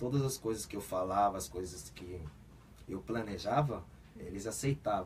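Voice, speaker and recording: A man speaks at a fairly slow pace with a Korean accent. His pitch swings very widely. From South Korea, raised in Brazil from age seven. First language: Korean (speaking Portuguese). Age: 20s. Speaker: football player. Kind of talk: radio interview. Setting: radio studio.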